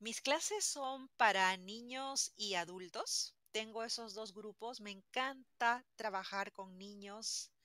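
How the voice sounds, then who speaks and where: A woman with fairly high pitch and a bright, sharp tone speaks at a very slow pace with hardly any pauses, ordinary pitch variation and big swings in loudness, in a dry sound with no echo against a quiet background. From Peru, Lima; Peru. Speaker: language teacher. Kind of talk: interview. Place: home room.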